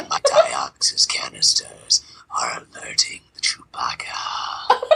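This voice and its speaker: A put-on character voice in a whisper, at a fairly slow pace. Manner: goofy, comedic, dummy-thick.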